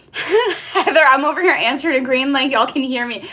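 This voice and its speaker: Projecting a raised voice, a woman with an American accent speaks at a high pitch in a bright, sharp tone. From US East Coast. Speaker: YouTuber. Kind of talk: live stream chat. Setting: hotel room livestream. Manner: casual, chatty.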